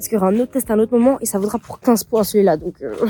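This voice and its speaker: The recording has a dry, close sound with no echo. A woman speaks at a fairly high pitch in an animated tone with ordinary pitch variation. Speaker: university student vlogger. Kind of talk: casual vlog. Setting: outdoors walking.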